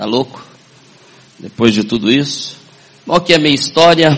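Background noise is clearly present. Over it, a man talks with a normal amount of pitch movement. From northern Paraná, Brazil (Paranavaí). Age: 50s. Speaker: network marketing business owner. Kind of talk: motivational talk. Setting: stage with audience.

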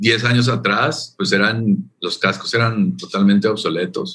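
A man speaks at a very slow pace. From Colombia. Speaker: tourism official. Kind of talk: interview.

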